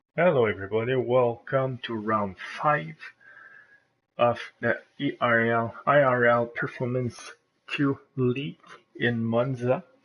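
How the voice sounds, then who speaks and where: At a fairly slow pace, a man talks at a medium pitch with ordinary pitch variation and long, frequent pauses. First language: not English. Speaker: race commentator. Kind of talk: live commentary. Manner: halting.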